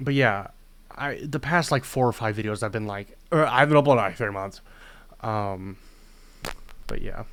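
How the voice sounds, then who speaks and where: On a very clean recording with a silent background, a man at medium pitch keeps a moderate pace with long, frequent pauses and ordinary pitch variation. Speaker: personal video diarist. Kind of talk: personal vlog confession. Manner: loud; halting, many pauses.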